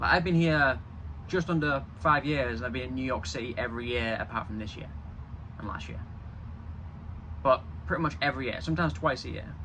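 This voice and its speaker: A man with a bright, sharp tone and vocal fry talks at a fairly quick pace, his medium pitch moving in very wide swings. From Yorkshire, England. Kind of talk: casual talk to camera.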